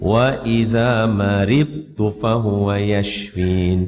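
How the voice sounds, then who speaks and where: A man speaks in a fairly low pitch. His intonation stays fairly even. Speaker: Quran teacher. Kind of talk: religious talk with storytelling. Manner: casual conversational.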